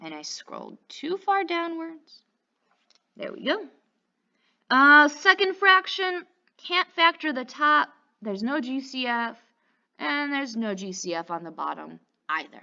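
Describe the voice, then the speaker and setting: A woman speaks in an upbeat, bright and sharp tone, her high voice raised and projected with very wide pitch swings. She talks at a fairly slow pace, with long, frequent pauses and big swings in loudness. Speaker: math teacher. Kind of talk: tutorial. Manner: stutters, self-correcting; casual, upbeat.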